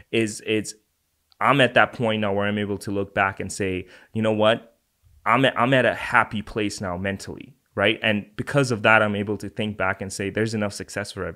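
Recorded very cleanly against a silent background, a man talks at a fairly quick pace with a bright, sharp tone and monotone, flat intonation. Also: fairly low pitch for a man. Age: 20s. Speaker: entrepreneur and fitness content creator. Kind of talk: casual chat. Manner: halting.

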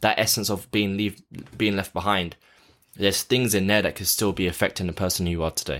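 A man's fairly low voice with an English accent, fairly quick pace and fairly even intonation, on a very clean recording with a silent background. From London, England. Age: 20s. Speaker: actor and abuse survivor speaker. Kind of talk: interview testimony.

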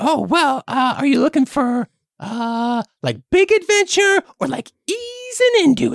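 The speaker puts on a character voice pitched high. The delivery is fairly slow. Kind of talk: comic improv. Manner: casual, laid-back, slightly jaded.

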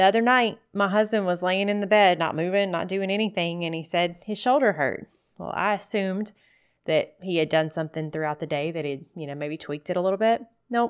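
In a plain, everyday voice at a medium pitch, a woman speaks at a fairly quick pace with ordinary pitch variation on a very clean recording with a silent background. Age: 40s. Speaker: podcast host, midwife and hemp farmer. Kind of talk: casual monologue podcast.

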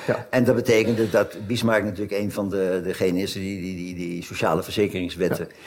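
Audible room echo carries a man's fairly low voice as he talks at a fairly quick pace with fairly even intonation. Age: 70s. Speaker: emeritus professor of German history. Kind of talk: conversation on stage. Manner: halting, many repetitions.

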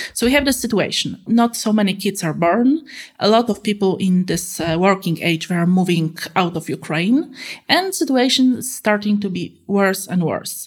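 A woman with a Polish accent and a somewhat breathy voice speaks at a medium pitch and moderate pace, with lively intonation. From Poland. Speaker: political analyst. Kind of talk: interview. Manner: halting, many fillers.

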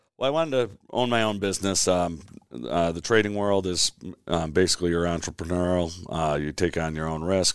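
A man talks with an American accent at a fairly quick pace. His pitch is very deep and low, with ordinary variation. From Chicago area (Elmhurst, Illinois). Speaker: franchise owner. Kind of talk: interview. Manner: halting, many fillers.

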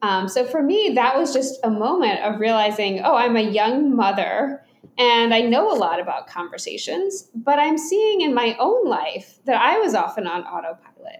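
At a moderate pace and with hardly any pauses, a woman with an American accent speaks in a high voice that swings very widely in pitch. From US South, Atlanta, Georgia. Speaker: speech pathologist and author. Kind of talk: interview conversation.

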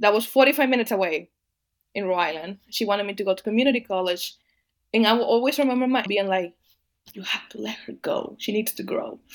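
A woman with a Spanish accent talks very fast at a fairly high pitch, her loudness swinging widely while her pitch varies in an ordinary way, in a very clean recording with a silent background. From Dominican Republic. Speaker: agricultural policy advocate. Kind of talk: interview.

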